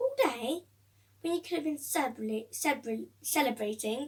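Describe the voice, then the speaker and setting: Doing a put-on character voice, a woman speaks at a high pitch and a moderate pace. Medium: read story. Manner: warm, amused.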